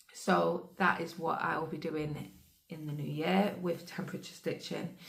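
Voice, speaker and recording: A woman with a fairly low pitch speaks at a moderate pace with fairly even intonation, and the room echo is audible. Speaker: cross-stitch vlogger. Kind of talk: casual chat.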